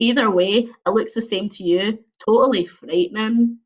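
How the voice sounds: Pitch moves in an ordinary way through a natural reading voice. Behind it, all is quiet.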